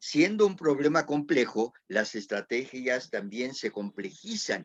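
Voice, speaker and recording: A man's very slow, fairly high-pitched speech with very wide pitch swings, in a dry, close sound with no echo. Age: 70s. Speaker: panel moderator. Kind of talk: panel discussion. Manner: halting.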